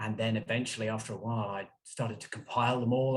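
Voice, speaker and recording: A man speaks in a somewhat breathy voice at a medium pitch. He has an English accent. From England (London). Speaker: author and journalist. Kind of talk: interview.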